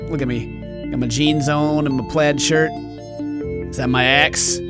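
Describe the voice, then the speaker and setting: Fairly slow speech from a man, clear music playing behind. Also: dry sound with no echo. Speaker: gaming streamer. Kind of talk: gameplay commentary. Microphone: studio mic.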